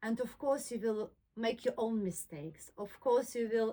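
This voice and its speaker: A woman speaks with a non-native accent at a fairly slow pace. Her pitch is fairly high. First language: not English. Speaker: soft furnishings maker and YouTuber. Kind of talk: personal talk to camera. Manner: halting, with frequent fillers.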